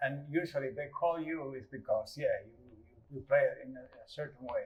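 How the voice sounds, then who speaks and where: A man with a Uruguayan accent speaks at a moderate pace. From rural Uruguay. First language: Spanish. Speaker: guitarist. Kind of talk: casual interview.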